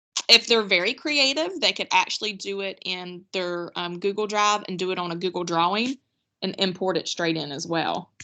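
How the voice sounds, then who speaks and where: A woman with a medium-pitched voice and ordinary pitch variation talks at a moderate pace over a quiet background in an unremarkable speaking voice. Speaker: teacher trainer. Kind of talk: online workshop presentation.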